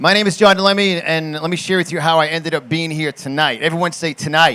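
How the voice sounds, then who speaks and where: Fairly quick and bright, sharp in tone, a man with a high pitch talks in a New York accent. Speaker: conservative political commentator and motivational speaker. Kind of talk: political rally speech. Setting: stage with audience. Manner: animated.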